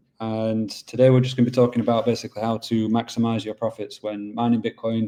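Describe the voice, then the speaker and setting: The voice has a dark, mellow tone and a Yorkshire accent. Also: man. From England, Yorkshire. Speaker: business development manager at a mining pool. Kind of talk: webinar presentation. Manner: casual, filler-heavy.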